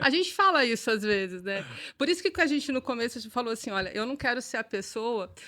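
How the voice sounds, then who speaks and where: Bright and sharp in tone, a woman with a fairly high pitch talks at a fairly quick pace with very wide pitch swings, in a very clean recording with a silent background. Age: 40s. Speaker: business owner. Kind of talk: podcast interview.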